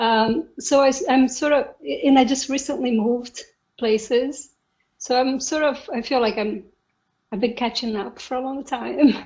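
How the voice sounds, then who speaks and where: A woman speaks at a fairly slow pace in a high voice with ordinary pitch variation. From Brazil. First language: Portuguese. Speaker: software engineer. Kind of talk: interview.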